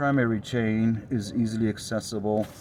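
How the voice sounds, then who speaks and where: This man has a dark, mellow tone. His pitch is fairly low. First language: Romanian. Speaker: motorcycle builder. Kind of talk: video walkthrough of a custom motorcycle. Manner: hesitant, many fillers.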